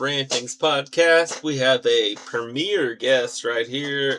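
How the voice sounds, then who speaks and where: A man speaks at a very slow pace with hardly any pauses against noticeable background noise. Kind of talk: casual podcast interview host.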